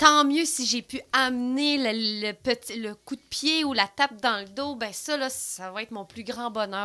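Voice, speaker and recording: A woman speaks at a fairly slow pace in a fairly high pitch. Her tone is bright and sharp, with ordinary pitch variation. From Quebec, Rivière-du-Loup. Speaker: podcast guest, regional development worker. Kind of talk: casual interview chat. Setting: podcast studio. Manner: loud.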